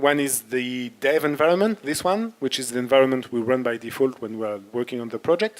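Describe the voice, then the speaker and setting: The speaker is a man. He talks with a French accent. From France (Paris). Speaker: software developer and workshop instructor. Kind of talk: technical workshop. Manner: halting, with fillers.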